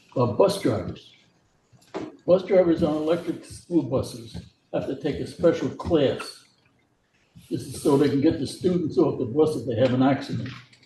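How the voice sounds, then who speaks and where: A man's somewhat breathy, dark, mellow voice has a fairly high pitch, ordinary pitch variation, and a moderate pace. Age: 80s+. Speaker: former school board member. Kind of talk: public comment at meeting. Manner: halting.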